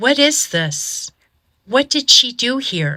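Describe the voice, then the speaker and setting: Putting on a character voice, a woman sounds raspy and high-pitched. She speaks at a very slow pace with very wide pitch swings. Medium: read story.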